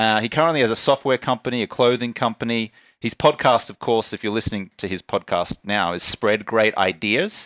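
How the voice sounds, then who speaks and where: A man talks at a fairly quick pace with hardly any pauses. The recording is very clean and dry, close with no echo and a silent background, and his medium pitch has ordinary variation. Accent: Australian. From Australia. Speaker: entrepreneur and podcast host. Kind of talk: casual conversation. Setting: office in a villa.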